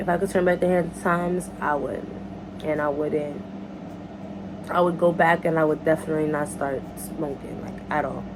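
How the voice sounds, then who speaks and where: Amid noticeable background noise and audible room echo, a woman with a very deep, low pitch speaks at a moderate pace with ordinary pitch variation and long, frequent pauses. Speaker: YouTuber. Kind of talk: casual Q&A vlog. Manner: casual, halting.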